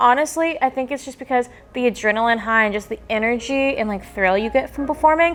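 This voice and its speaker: Speaking at a very fast pace with a Southern US accent, a woman has an upbeat tone, a high pitch and ordinary pitch variation. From Alabama. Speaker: singer-songwriter. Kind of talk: interview answer. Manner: upbeat, chatty.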